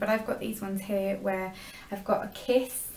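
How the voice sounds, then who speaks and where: Against noticeable background noise and audible room echo, a woman speaks with fairly even intonation. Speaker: beauty vlogger. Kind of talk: product review vlog. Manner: fast.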